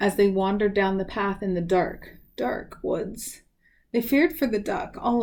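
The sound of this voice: An unforced reading voice carries this recording.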